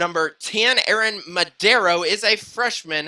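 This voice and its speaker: A man's raised, projected voice, high in pitch with a bright, sharp tone and ordinary pitch variation, on a very clean recording with a silent background. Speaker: sports play-by-play announcer. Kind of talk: live sports commentary. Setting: high school gym, live broadcast. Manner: loud.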